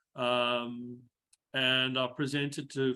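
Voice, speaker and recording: In a South African accent, a man speaks at a medium pitch with monotone, flat intonation. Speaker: engineer and mental health speaker. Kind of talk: webinar talk.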